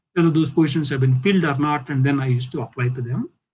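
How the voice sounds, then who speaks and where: With an Indian accent, a man talks at a very fast pace. His pitch varies in an ordinary way. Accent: Indian English (Telugu). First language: Telugu. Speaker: physics professor. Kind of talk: lecture. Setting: video call.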